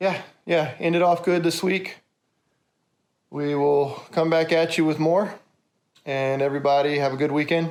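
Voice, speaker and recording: A man's fairly high voice, fairly even in intonation and very even in loudness, with long, frequent pauses. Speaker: car fabricator and YouTuber. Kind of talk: casual vlog outro. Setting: in his workshop. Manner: fast.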